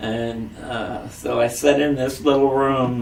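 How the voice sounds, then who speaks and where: A man speaks in a somewhat breathy voice. The room adds audible echo. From US Midwest, Springfield, Ohio. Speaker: singer, Navy veteran. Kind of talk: oral history interview. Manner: halting, many fillers.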